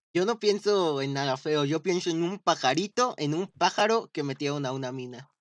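A man's normal speaking voice, fairly high, with lively intonation, a moderate pace, and hardly any pauses. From Mexico, Estado de México. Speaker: gaming streamer. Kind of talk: casual gameplay livestream chat. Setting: livestream with friend on voice chat.

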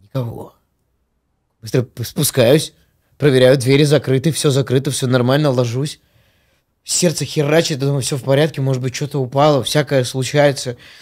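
A man's monotone, flat delivery at a moderate pace, with long, frequent pauses and a quiet background. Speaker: podcast host. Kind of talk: casual chat. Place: studio. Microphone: studio mic.

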